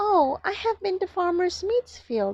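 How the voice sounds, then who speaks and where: This put-on character voice is squeaky. It moves at a moderate pace. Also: woman. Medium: read story. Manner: bright, defiant.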